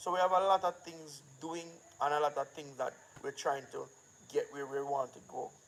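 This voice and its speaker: A man with a fairly high pitch and a Jamaican accent speaks with fairly even intonation. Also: moderate pace, big swings in loudness. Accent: Jamaican, patois-inflected. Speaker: filmmaker and channel owner. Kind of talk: casual live-stream talk.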